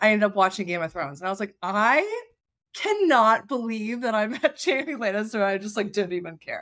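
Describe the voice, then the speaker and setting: In an ordinary speaking voice, a woman talks at a fairly quick pace with lively intonation and a fairly high pitch, on a very clean recording with a silent background. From US South, Charleston, West Virginia. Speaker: event planner, business founder. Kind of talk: interview.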